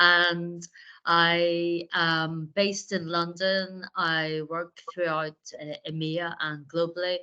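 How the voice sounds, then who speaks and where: A woman speaks at a very slow pace with an Irish accent. Her pitch is fairly low and her intonation is monotone and flat. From Ireland. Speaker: fractional sales leader. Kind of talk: webinar discussion.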